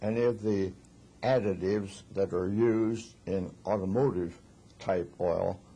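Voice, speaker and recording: A man speaks very slowly in a fairly low voice. His tone is dark and mellow, somewhat breathy. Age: 80s+. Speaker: refrigeration engineer. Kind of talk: interview answer.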